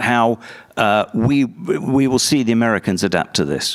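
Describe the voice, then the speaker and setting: A man with a British accent, medium pitch and ordinary pitch variation. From UK. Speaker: conference panelist. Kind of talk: panel discussion.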